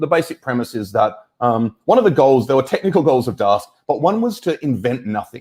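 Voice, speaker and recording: Speaking at a fairly quick pace, a man uses an Australian accent and a medium pitch. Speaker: data science evangelist. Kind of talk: tech talk. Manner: halting, many fillers.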